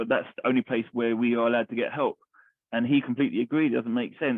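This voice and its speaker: A man with a London accent, very fast and monotone, his intonation flat. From East London. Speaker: army veteran, charity founder. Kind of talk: interview answer.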